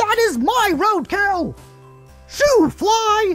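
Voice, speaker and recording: A put-on character voice is heard with clear music in the background. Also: man, extremely high pitch for a man. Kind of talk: children's book read-aloud. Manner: squawking, indignant.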